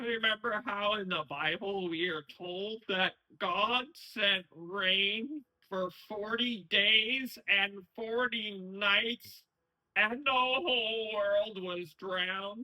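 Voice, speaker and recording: A man puts on a character voice, raised and projected, at a high pitch with ordinary pitch variation. He speaks at a very slow pace. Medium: audio drama. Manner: solemn, mock-prophetic.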